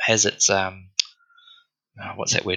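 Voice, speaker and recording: A man with an Australian accent at a fairly slow pace. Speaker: crypto trader. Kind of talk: casual chat.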